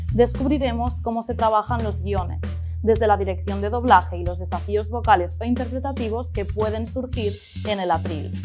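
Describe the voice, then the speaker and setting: Music plays in the background as the voice goes at a moderate pace. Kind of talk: interview host introduction.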